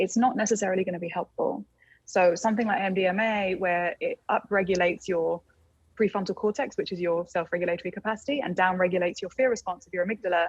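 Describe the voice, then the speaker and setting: With an English accent, a woman talks at a very fast pace, her pitch medium and her intonation fairly even. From England. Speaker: plant medicine guide. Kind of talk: casual chat.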